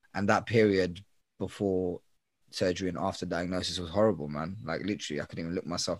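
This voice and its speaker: Very fast speech in a London accent, fairly even in intonation, on a very clean recording with a silent background. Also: man. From Northwest London. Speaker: podcast producer and TV and radio host. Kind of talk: casual chat.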